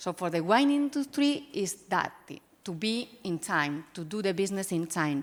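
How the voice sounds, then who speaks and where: Very wide pitch swings in a Spanish accent at a moderate pace. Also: woman. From Spain. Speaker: winery sustainability executive. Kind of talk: panel discussion.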